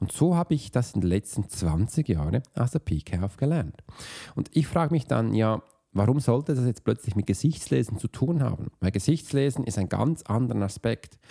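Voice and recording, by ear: With a medium pitch and a dark, mellow tone, a man speaks at a moderate pace with lively intonation, a slightly husky edge and vocal fry.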